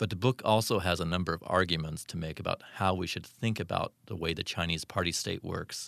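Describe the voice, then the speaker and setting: Over a quiet background, a man with a very deep, low voice talks very fast with ordinary pitch variation, the sound dry and close with no echo. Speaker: book interviewer for a publisher. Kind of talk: interview.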